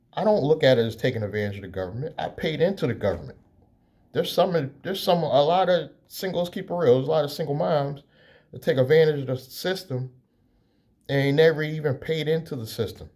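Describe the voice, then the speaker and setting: Talking at a very fast pace, a man sounds somewhat breathy, his intonation lively against a quiet background. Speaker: entrepreneur YouTuber. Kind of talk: casual vlog monologue. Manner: casual with many fillers. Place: home room. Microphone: phone near.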